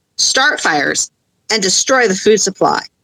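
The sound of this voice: Quiet surroundings behind an unforced reading voice of ordinary pitch variation.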